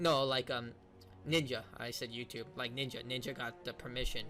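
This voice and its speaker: Over music in the background, the speech runs at a fairly quick pace with fairly even intonation. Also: man. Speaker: streamer reacting to gaming news. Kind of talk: casual reaction commentary. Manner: fast.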